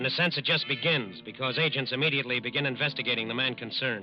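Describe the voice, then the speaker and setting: Over music in the background, a man talks at a very fast pace with a medium pitch and fairly even intonation. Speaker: radio narrator. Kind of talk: dramatic radio narration. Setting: vintage radio studio broadcast.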